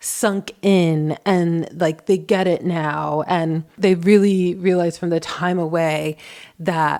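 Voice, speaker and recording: A woman speaks with a dark, mellow tone, fairly low pitch and fairly even intonation. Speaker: relationship advice youtuber. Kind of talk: casual vlog monologue.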